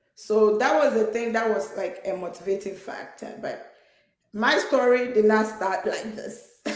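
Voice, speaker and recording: In a Ghanaian accent, a woman speaks at a fairly slow pace with a fairly high pitch and ordinary pitch variation. Her loudness swings widely. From Ghana, Takoradi, western Ghana. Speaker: nurse, immigrant guest. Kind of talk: personal testimony in conversation.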